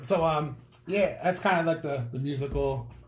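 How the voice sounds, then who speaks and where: Room echo is audible as a man speaks at a moderate pace. His pitch varies in an ordinary way. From North Dakota, Minot. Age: 30s. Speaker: rapper. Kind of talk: casual interview. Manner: hesitant, filler-heavy.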